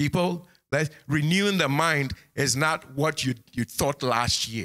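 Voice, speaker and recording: Here a man speaks at a fairly slow pace, his pitch fairly high with ordinary variation. His tone is bright and sharp. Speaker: pastor. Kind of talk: sermon. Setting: church sanctuary with congregation, streamed online. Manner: animated.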